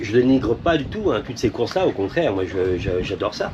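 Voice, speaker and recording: Noticeable background noise beneath a voice of very wide pitch swings. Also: man. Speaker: sailing vlogger, boat captain. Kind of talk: casual vlog commentary. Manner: fast.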